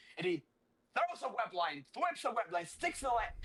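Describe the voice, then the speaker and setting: A man with a non-native accent speaks in an animated tone, his pitch swinging very widely. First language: not English. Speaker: comic book podcast co-host. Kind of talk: casual chat, recapping a comic.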